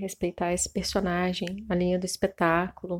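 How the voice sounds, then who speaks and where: This woman talks at a moderate pace. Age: 30s. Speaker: costume and set designer. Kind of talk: interview, casual chat.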